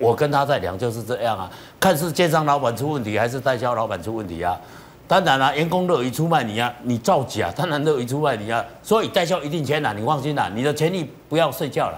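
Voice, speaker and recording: Very fast and with lively intonation, a man talks. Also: fairly high pitch for a man. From Taiwan. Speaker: property commentator. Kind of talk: TV panel discussion. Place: studio.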